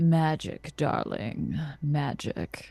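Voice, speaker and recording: A put-on character voice at a low-to-middle pitch. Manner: unsettling, ominous.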